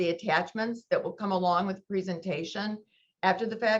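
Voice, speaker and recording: A woman talks at a fairly quick pace. Her medium-pitched voice keeps a fairly even intonation. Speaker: university procurement officer. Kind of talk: webinar presentation. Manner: fast.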